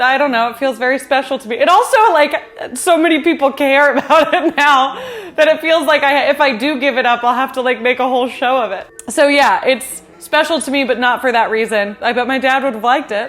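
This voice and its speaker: A woman with an American accent, high-pitched, at a fairly quick pace with ordinary pitch variation, over music in the background. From US West Coast, San Fernando Valley, Los Angeles. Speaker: YouTuber, home baker. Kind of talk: casual Q and A vlog. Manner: chill, casual.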